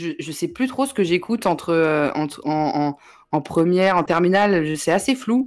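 A woman speaks in a normal speaking voice, fairly low in pitch, at a moderate pace. Her intonation is lively, and the recording is very clean with a silent background. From Paris region, Yvelines. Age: 20s. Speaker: journalist and web creator. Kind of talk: casual chat. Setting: livestream.

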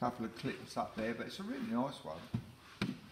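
A man talks very slowly, with noticeable background noise in the recording. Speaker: auction house staff. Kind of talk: walkthrough commentary showing items. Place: hall. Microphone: phone near.

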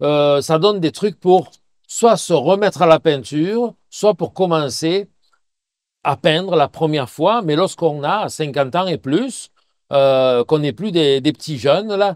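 Speaking at a very slow pace with a Quebec accent, a man uses lively intonation and a fairly high pitch, with a dry, close sound and no echo. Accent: Québécois French. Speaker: painting teacher. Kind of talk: Q&A tutorial. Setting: outdoors by a river. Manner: loud; hesitant, many fillers.

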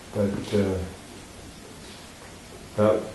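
A man speaks with a low pitch and a dark, mellow tone, his pitch moving very little. Strong room echo surrounds his voice.

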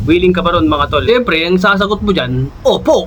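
A man with a high pitch talks fairly quickly while noticeable background noise runs underneath. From Philippines. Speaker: vlogger, overseas Filipino worker. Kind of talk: casual vlog tips. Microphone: no mic, mic battery died.

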